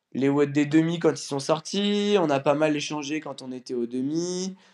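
A man talks very slowly, his voice sitting fairly high. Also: quiet background. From France, near Lyon. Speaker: CrossFit athlete. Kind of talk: casual interview.

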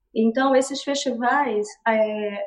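This is a woman speaking. Her pitch sits high. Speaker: dancer and ballet teacher. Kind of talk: interview on a live stream.

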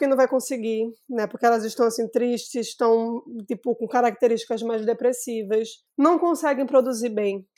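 Recorded very cleanly with a silent background, a woman speaks at a high pitch. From Brazil, Recife (Pernambuco). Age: 30s. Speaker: tech startup founder. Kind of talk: interview conversation.

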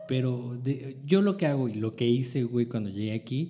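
With a Mexican accent, a man speaks at a fairly slow pace and a medium pitch. Noticeable background noise comes through. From northern Mexico. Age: 30s. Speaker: multimedia producer and photographer. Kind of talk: casual chat.

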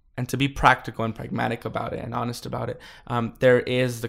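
In an unremarkable speaking voice, a man with an American accent talks at a fairly quick pace with fairly even intonation. The recording is very clean, with a silent background. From California, US. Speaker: school board member and immigrant rights activist. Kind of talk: interview.

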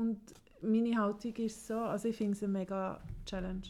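In a Swiss accent, a woman speaks at a medium pitch with a dark, mellow tone and flat, monotone intonation. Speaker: podcast co-host. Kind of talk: casual chat.

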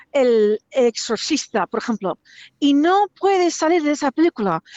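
With an English accent, a woman speaks at a high pitch and a fairly slow pace. Her intonation is lively. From US, Virginia. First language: English (speaking Spanish). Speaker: person living with schizophrenia. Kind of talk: testimony.

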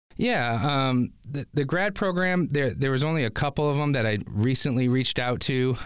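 An ordinary speaking voice from a man at medium pitch, moderate pace, and lively intonation. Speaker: media production supervisor and instructor. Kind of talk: interview chat. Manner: friendly, conversational with fillers.

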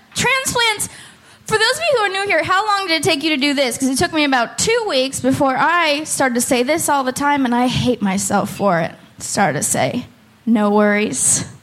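Audible room echo surrounds a woman's high-pitched voice. Her pitch swings very widely. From Oakland. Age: 30s. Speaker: comedian. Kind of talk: stand-up. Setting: stage with audience.

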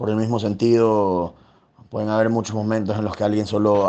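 In a fairly low pitch, a man speaks with a monotone, flat intonation. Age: 20s. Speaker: dating app user interviewee. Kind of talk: personal testimony.

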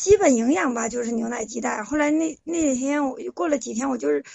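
The speaker is a woman with a high pitch. She talks at a fairly quick pace. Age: 40s. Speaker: caller seeking relationship advice. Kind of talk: call-in confession of personal story.

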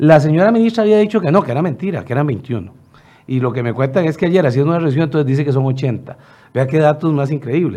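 Fairly high in pitch, a man speaks with lively intonation. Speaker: legislator. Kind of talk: radio interview.

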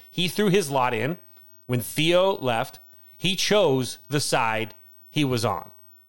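An unremarkable speaking voice belongs to this man with an American accent, fairly high in pitch and lively in intonation. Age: 40s. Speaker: podcast co-host, teacher. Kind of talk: casual chat.

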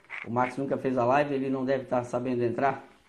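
A man talks at a fairly quick pace. Audible room echo can be heard. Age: 40s. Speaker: podcast host, karting league organizer. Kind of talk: interview. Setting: live video call.

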